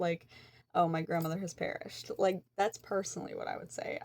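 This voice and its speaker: With a very clean recording and a silent background, a woman with an American accent uses an unremarkable speaking voice at a fairly low pitch and a fairly quick pace. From Eastern West Virginia. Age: 20s. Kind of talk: casual talk to camera.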